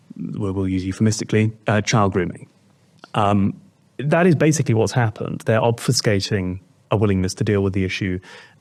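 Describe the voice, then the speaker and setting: A man with a British accent, fairly low in pitch and with ordinary pitch variation, on a very clean recording with a silent background. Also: fairly quick pace. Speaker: political commentator. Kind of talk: political discussion. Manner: halting, with many fillers.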